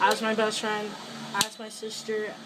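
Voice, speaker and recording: A woman with a fairly high voice speaks at a fairly slow pace, with audible room echo and noticeable background noise. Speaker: vlogger making a video for a friend. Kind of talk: heartfelt personal message to camera. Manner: emotional, halting.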